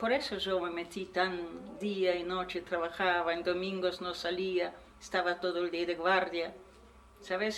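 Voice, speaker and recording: A woman at medium pitch with a Polish accent, moderate pace, and noticeable background noise. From Poland. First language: Polish (speaking Spanish). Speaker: Holocaust survivor. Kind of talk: testimony. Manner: halting.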